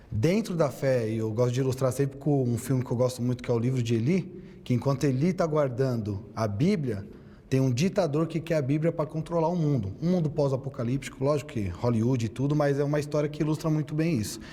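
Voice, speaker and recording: A man talks at a fairly quick pace with hardly any pauses and very even loudness, his somewhat breathy voice dark and mellow in tone, with ordinary pitch variation. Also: fairly high pitch for a man. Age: 30s. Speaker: theologian and debater. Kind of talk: debate statement.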